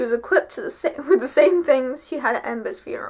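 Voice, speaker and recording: With an English accent, a woman speaks high-pitched and at a fairly quick pace, her pitch swinging very widely. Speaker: vlogger. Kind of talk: reading aloud. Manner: animated.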